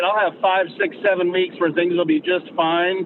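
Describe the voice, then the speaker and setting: A man speaks at a high pitch. Noticeable background noise runs throughout. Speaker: podcast co-host. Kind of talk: casual discussion on a live call. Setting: call. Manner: loud; intense, with an edge. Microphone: poor connection.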